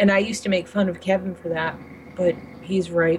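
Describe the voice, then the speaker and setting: A woman with a fairly low voice talks fairly quickly, with noticeable background noise in the recording. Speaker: vaping advocate. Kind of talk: casual chat.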